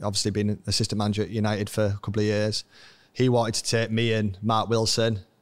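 A man with a Yorkshire accent talks at a fairly quick pace in a monotone, flat intonation, on a very clean recording with a silent background. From northern England, Scarborough, North Yorkshire. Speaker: former footballer and youth coach. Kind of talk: interview storytelling. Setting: stadium lounge recording.

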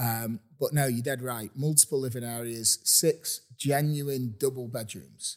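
Fairly slow with hardly any pauses, a man speaks at a medium pitch with fairly even intonation in an unremarkable speaking voice. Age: 40s. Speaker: real estate agent. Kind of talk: casual chat. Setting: inside a house for sale.

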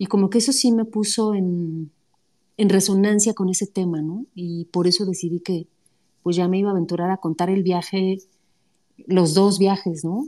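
Her dark, mellow voice is medium in pitch, and the woman keeps a moderate pace with fairly even intonation. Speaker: writer. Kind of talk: casual chat.

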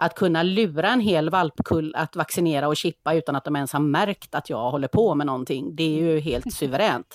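A woman with a very deep, low pitch and ordinary pitch variation speaks at a moderate pace with hardly any pauses. The recording is very clean, with a silent background and a dry, close sound with no echo. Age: 50s. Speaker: veterinary nurse and dog behaviour consultant. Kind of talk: casual chat.

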